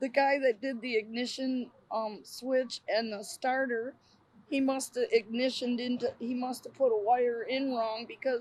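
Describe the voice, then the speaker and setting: A woman's high-pitched voice with ordinary pitch variation at a fairly slow pace. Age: 50s. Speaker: homeless woman living in an RV. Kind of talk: interview testimony. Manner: halting, repeating words.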